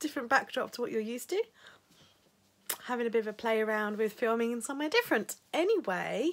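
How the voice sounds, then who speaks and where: A woman with an English accent talks at a very fast pace and fairly high pitch with ordinary pitch variation, leaving long, frequent pauses, on a very clean recording with a silent background. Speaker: stationery vlogger. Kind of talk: casual vlog.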